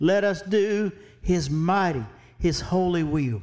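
A man speaks in an animated tone with ordinary pitch variation against a quiet background. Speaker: pastor. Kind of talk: sermon; Bible study sermon, preacher in full flow, exhorting. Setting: church. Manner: animated, fervent preaching cadence, rising with emphasis; exhortative, call-and-response. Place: church.

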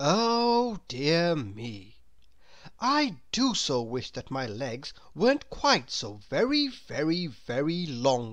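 Putting on a character voice, a woman talks slowly at a low pitch, with big pitch swings.

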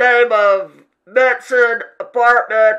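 A man uses a put-on character voice at an extremely high pitch. His voice is raised and projected. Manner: brisk, official.

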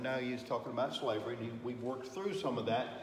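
Lively intonation against audible room echo and light background noise. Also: man. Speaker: Sunday school teacher. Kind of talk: lecture. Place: classroom. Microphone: camera far.

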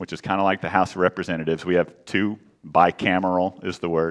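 Very deep and low, a man's voice with fairly even intonation sits over a quiet background. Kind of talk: church announcements to congregation. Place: church.

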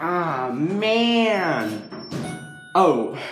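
A man's voice with audible room echo and faint music in the background. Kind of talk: casual commentary. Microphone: phone near.

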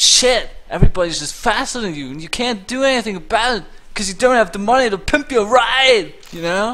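The speech runs with hardly any pauses. Background noise is noticeable. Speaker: gaming streamer. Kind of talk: profanity-laced angry rant at a video game, spiraling into absurd hypotheticals. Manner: exasperated, shouting outbursts of disbelief.

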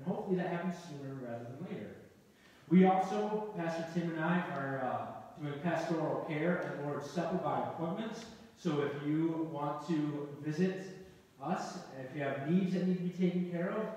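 Strong room echo surrounds a man speaking at a moderate pace, his pitch high with ordinary variation. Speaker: pastor. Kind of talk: church announcements. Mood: warm, friendly. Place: church. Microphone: camera far.

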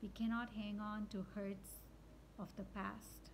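A woman with a fairly high pitch speaks very slowly, with audible room echo. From India. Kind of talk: spiritual reflection monologue. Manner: unscripted, with fillers.

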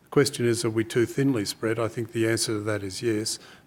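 In an Australian accent, the speaker talks at a very fast pace with fairly even intonation. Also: man. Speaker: chief scientist; panelist. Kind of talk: formal speech. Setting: stage with audience. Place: hall. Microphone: podium.

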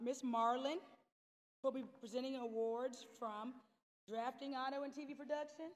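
A woman speaks in a high voice with fairly even intonation. She leaves long, frequent pauses. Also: moderate pace. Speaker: school guidance department head; ceremony host. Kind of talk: ceremony emcee speech. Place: hall.

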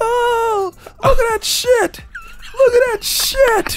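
A squeaky, put-on character voice comes through. It moves at a very slow pace.

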